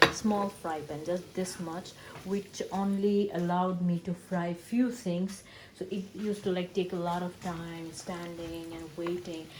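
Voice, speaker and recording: Against noticeable background noise, a soft-spoken woman talks at a fairly slow pace and medium pitch with fairly even intonation. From Bangladesh. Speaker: vlogger. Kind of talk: cooking vlog narration. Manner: halting.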